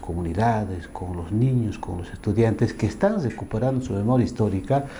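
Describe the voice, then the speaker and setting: Room echo is audible as a man speaks at medium pitch. His pace is moderate and his pitch varies in an ordinary way. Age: 60s. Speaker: former union leader and social activist. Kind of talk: interview.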